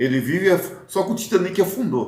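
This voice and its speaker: Very wide pitch swings mark a man's high voice. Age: 60s. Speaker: football fan commentator, vlogger. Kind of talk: casual monologue, football commentary. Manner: hesitant, with fillers and restarts.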